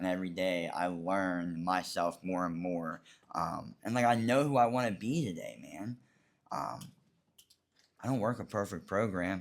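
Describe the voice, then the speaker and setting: Very deep and low, a man's voice moves at a moderate pace with ordinary pitch variation. Long pauses come often. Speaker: recovering addict sharing on a panel. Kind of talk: testimony. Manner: loud; halting, many fillers.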